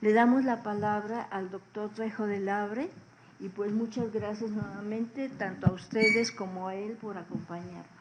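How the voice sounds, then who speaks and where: A woman talks at a moderate pace in a fairly high pitch, her intonation flat and monotone. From northern Mexico, Chihuahua. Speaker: seminar moderator. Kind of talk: speaker introduction.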